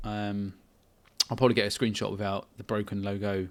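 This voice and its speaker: A man's fairly low voice at a moderate pace, recorded very cleanly over a silent background. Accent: English. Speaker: indie game developer. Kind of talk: casual devlog talk. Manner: halting.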